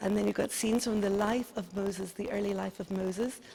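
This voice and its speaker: A woman at medium pitch, with a slight Dublin accent. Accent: Dublin Irish, slight. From Ireland, Dublin. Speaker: tour guide. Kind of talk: guided tour.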